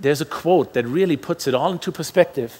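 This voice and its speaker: Lively in intonation, a man talks at a moderate pace. His voice sits fairly high. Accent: German. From Germany. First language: German. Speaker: pastor. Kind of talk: sermon.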